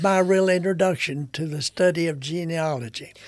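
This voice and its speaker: Music plays in the background. The speaker has a Kentucky accent. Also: man. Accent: Southern US, Kentucky. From Kentucky, US South. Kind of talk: casual conversational interview.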